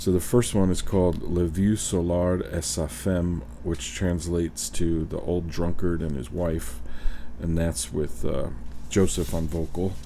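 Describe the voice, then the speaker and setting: A man talks at a fairly slow pace. His very deep, low voice shows ordinary pitch variation. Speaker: radio host. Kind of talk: casual chat between records. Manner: joking, teasing banter.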